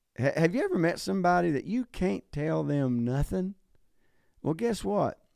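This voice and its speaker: A man with a high pitch makes very wide pitch swings in a dry, close sound with no echo. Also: moderate pace. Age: 50s. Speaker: pastor and podcast host. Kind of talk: motivational talk. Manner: casual, hesitant with fillers.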